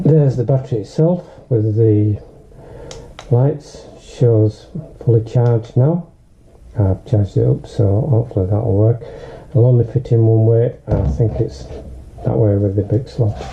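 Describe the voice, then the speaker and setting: A man at a medium pitch speaks at a fairly slow pace, with ordinary pitch variation and very even loudness. Long, frequent pauses break his speech, and noticeable background noise sits behind it. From Northern England. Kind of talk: casual unboxing talk to camera.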